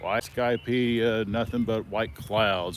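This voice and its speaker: A man speaks in a fairly low voice. His pace is very slow. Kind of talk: casual talk to camera while walking. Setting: outdoors. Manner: halting, with stutters and pauses.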